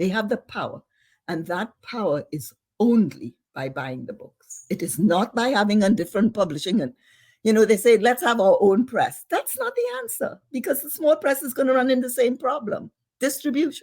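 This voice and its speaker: Pitched fairly high, a woman speaks at a moderate pace with vocal fry. Her pitch swings very widely. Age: old. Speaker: novelist and professor. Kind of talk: interview conversation.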